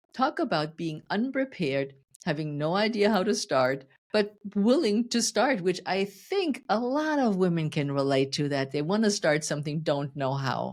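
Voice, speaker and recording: A woman's fairly low voice with a German accent, very wide pitch swings and a moderate pace, on a very clean recording with a silent background. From Germany. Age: 60s. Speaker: fitness coach. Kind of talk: podcast interview. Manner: animated.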